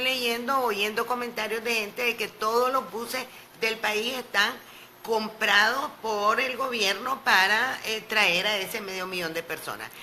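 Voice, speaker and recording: There is noticeable background noise as a woman with a fairly high pitch speaks at a fairly slow pace. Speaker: opposition politician. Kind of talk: radio interview.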